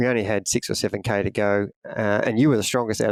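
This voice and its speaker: Medium-pitched male speech in an Australian accent, fairly quick and flat in a monotone, with a dry, close sound, no echo, and a very clean recording over a silent background. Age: 60s. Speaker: triathlon coach. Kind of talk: casual podcast chat.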